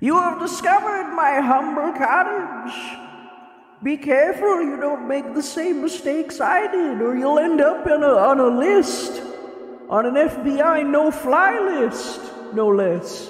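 In a put-on character voice pitched high, the speaker goes at a fairly slow pace over light background noise with a slight echo. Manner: theatrical, welcoming.

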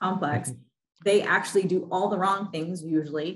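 This woman has a medium pitch and a somewhat breathy voice. She moves at a fairly quick pace with ordinary pitch variation. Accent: American. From US Midwest. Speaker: executive coach. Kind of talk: interview. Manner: animated.

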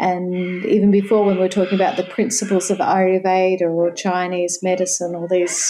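With an Australian accent, a woman speaks at a moderate pace, her medium-pitched voice carrying a dark, mellow tone. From Sydney, Australia. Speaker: yoga association president and yoga teacher. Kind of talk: interview conversation.

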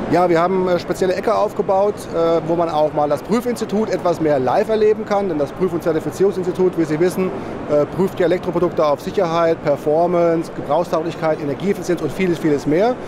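A man talks at a very fast pace and a high pitch, with ordinary pitch variation. The sound is dry with no echo, but background noise is noticeable. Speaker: testing institute representative. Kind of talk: interview statement. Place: hall.

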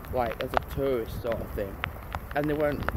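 Loud background noise runs behind a male speaker. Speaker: vlogger. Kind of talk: casual vlog chat. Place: street. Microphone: phone near.

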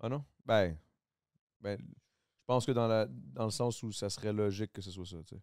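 In a dry sound with no echo and a quiet background, a man with a Quebec accent speaks fairly slowly at a fairly low pitch, with lively intonation and big swings in loudness. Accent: Québécois French. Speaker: podcast host. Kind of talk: casual chat; casual podcast conversation. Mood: relaxed, joking. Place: studio. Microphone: studio mic.

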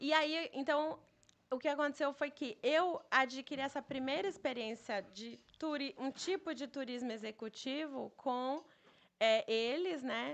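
A woman with a high voice speaks at a fairly slow pace, with ordinary pitch variation and big swings in loudness. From Brazil, Bahia (Itabuna); Bahia, Brazil. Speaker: travel entrepreneur; podcast guest. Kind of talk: casual interview chat. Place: studio. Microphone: studio mic.

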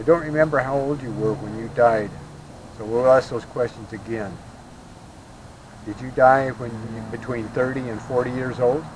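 Against noticeable background noise, a man speaks at a moderate pace with long, frequent pauses and fairly even intonation, the sound dry with no echo. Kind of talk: questions to spirits, casual explanation. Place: open country. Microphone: camera far.

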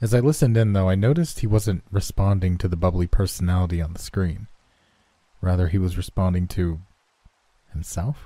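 Somewhat breathy, with a dark, mellow tone and a very deep, low pitch, a man talks at a fairly quick pace with ordinary pitch variation and long, frequent pauses. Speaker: online horror story narrator. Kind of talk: horror story narration.

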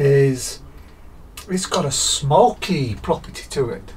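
The pitch of this man's voice shifts in an ordinary way. Some light noise sits in the background. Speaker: beer reviewer. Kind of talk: casual vlog chat. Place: garage.

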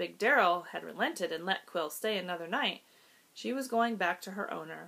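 The voice reads in an unforced way. Pitch shifts are ordinary.

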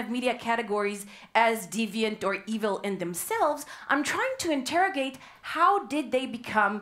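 A woman talks at a moderate pace. Her pitch moves in very wide swings. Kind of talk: lecture. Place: hall. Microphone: headset.

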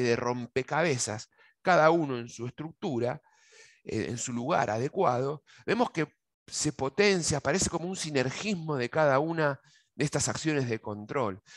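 A man with an Argentine accent speaks at a moderate pace with lively intonation and a fairly high pitch. The sound is dry with no echo, over a quiet background. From Argentina. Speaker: agronomist giving a technical webinar; presenter. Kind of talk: webinar lecture; lecture. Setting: video call. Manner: halting, frequent fillers and repetitions. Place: office. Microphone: headset.

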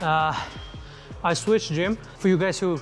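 Clear music plays in the background. The speaker moves at a fairly quick pace with ordinary pitch variation. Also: man. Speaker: fitness vlogger. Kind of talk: casual vlog chat. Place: gym. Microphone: lapel.

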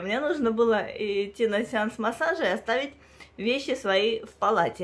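A woman with a Russian accent speaks at a moderate pace in a high voice with lively intonation. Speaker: video blogger; doll collector vlogger. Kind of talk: personal storytelling vlog, bilingual. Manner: halting. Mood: personal, emotional storytelling. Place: home room. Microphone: phone near.

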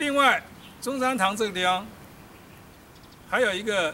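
Over light background noise, a man with a high pitch uses a raised, projected voice at a fairly slow pace with ordinary pitch variation. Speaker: military village tour guide. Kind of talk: guided walking tour talk. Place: street. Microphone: camera far.

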